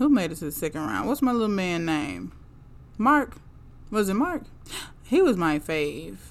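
Fairly low in pitch with vocal fry, a woman's voice swings very widely in pitch. She leaves long, frequent pauses. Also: moderate pace. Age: 30s. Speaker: podcast host reviewing reality TV. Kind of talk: casual monologue.

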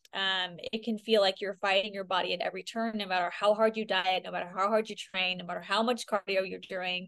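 Against a quiet background, a woman with a Californian accent speaks in a monotone, flat intonation. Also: medium pitch for a woman. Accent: Californian American. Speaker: functional health coach. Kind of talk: podcast interview. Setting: video call.

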